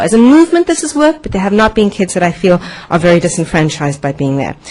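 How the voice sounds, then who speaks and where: Noticeable noise fills the background. Through it, a woman talks. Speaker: parent speaking at public comment. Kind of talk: public comment at school board meeting. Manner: fast.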